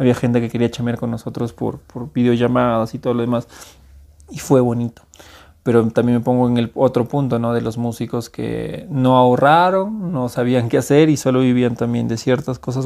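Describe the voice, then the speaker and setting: A man's medium-pitched voice with a dark, mellow tone at a moderate pace, on a very clean recording with a silent background. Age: 30s. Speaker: music producer. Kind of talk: casual chat.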